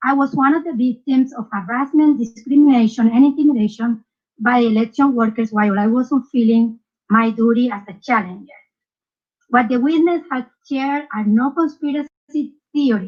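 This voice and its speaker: A woman with a Spanish accent talks at a moderate pace in a high voice with ordinary pitch variation. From South America. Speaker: poll challenger. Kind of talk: testimony.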